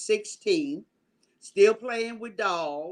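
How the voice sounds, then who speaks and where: A woman's intonation is lively while her delivery stays very slow. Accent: American. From US, military family. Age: 70s. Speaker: nurse and program specialist. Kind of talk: interview.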